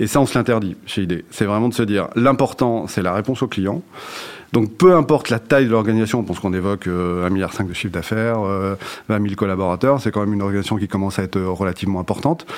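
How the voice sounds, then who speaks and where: A man at a fairly low pitch and a very fast pace. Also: ordinary pitch variation. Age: 40s. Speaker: HR director. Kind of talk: interview. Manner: halting, many fillers and repetitions.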